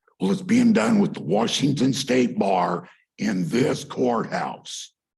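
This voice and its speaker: At a very slow pace and very even loudness, a somewhat breathy man speaks at a medium pitch with very wide pitch swings. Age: 60s. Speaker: member of the public giving comment. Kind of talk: public comment at a county meeting. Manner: agitated.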